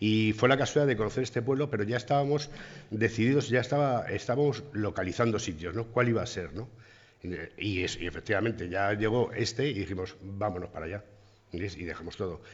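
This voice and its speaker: A man with an unremarkable speaking voice talks fairly quickly in a fairly low pitch, with ordinary pitch variation. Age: 50s. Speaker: bar owner. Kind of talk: interview.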